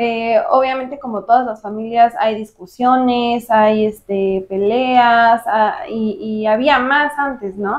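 Speaking very slowly with hardly any pauses, a woman with a Mexican accent uses a fairly high pitch. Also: ordinary pitch variation. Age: 20s. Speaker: marketer. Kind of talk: interview.

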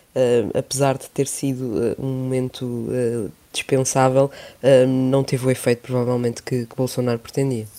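The speaker talks at a moderate pace with a European Portuguese accent. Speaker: journalist. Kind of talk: casual chat. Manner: halting, many fillers.

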